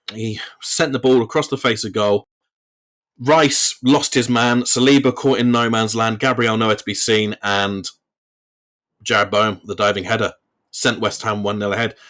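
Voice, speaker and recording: At a moderate pace and with an English accent, the speech runs in fairly even intonation broken by long, frequent pauses. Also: man, medium pitch for a man. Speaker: football podcast host. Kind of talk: solo podcast match review. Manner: stuttering today. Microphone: recording without his usual computer setup, technical issues.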